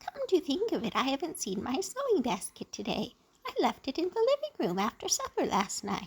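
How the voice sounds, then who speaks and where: Using a put-on character voice, a woman speaks high and squeaky at a moderate pace. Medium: read story.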